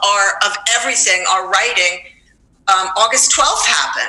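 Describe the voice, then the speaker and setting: Audible room echo and noticeable background noise surround a woman with an American accent. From New York. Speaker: high school teacher. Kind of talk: interview.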